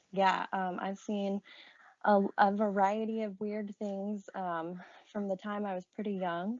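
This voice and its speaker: With an Appalachian accent, a woman speaks at a medium pitch with fairly even intonation. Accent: Southern Appalachian American. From US South, Appalachia (Marion, Virginia). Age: 30s. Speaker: podcast guest sharing paranormal experiences. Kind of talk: casual interview storytelling.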